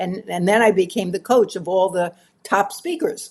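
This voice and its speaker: The speaker is a woman. She has a New York accent. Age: 80s+. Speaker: professional speaker. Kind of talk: interview answer.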